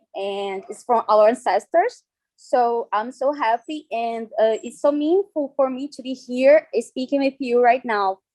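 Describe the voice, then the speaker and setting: The speaker, with a Brazilian Portuguese accent, goes at a fairly slow pace with hardly any pauses and ordinary pitch variation. Loudness swings a lot, and the sound is dry and close with no echo. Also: woman, high pitch for a woman. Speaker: dance artist and researcher. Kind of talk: conference talk. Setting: video call. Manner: halting.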